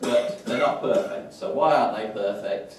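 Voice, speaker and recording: In a strong Wolverhampton accent, a man talks at a fairly slow pace, with audible room echo and noticeable background noise. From England, West Midlands, Wolverhampton. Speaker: professor. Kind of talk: lecture. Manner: hesitant with frequent fillers.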